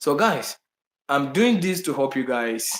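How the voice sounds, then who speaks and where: A man with a Ghanaian accent talks at a fairly slow pace in a fairly high voice. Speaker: travel vlogger. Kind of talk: live stream chat. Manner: halting.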